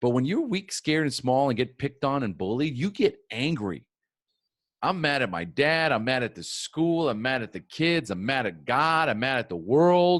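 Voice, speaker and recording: A man with a medium pitch talks at a moderate pace in an energetic, animated tone. His pitch swings very widely over a quiet background. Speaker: podcast host and recovery speaker. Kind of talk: personal testimony talk. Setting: recorded conference talk.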